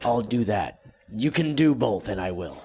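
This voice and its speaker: Using a put-on character voice, a man speaks raspily at a medium pitch and a moderate pace. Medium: actual play. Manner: intense, bitter.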